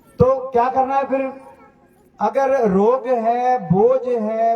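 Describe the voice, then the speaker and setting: A man talks in a Punjabi accent. His intonation stays fairly even. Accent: Punjabi-accented Hindi. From Punjab, India. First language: Punjabi (speaking Hindi). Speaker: pastor. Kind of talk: sermon.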